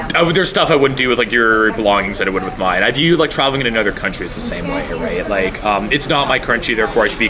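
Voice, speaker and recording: A man speaks with a Canadian accent and lively intonation. Music plays behind him, and the room has an audible echo. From Canada. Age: 20s. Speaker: university student. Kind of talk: interview. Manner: hesitant, many fillers.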